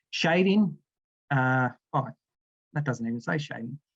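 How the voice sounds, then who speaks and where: A man speaks with an Australian accent. He goes at a fairly slow pace. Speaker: aquatic scientist. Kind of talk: presentation. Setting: video call.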